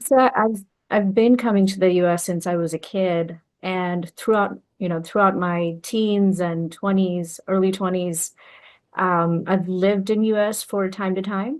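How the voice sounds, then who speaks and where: In a Bengali accent, a woman at medium pitch speaks at a fairly slow pace with fairly even intonation against a quiet background. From Bangladesh. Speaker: entrepreneur and business consultant. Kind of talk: interview.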